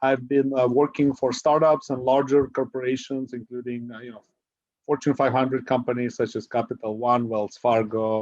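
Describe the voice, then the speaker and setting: A man at a medium pitch talks at a moderate pace in a flat monotone, and his loudness swings widely. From Ukraine. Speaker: real estate investor. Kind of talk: podcast interview. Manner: many fillers (uh).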